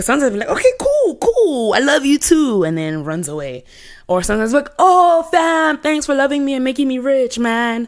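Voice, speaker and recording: A woman speaks loudly at a high pitch and a fairly quick pace, her tone animated and her pitch swinging very widely. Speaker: pop culture correspondent. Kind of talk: casual chat.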